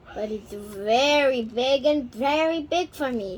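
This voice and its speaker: A put-on character voice at a fairly slow pace. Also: woman, high pitch for a woman. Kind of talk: bedtime story. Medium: read story.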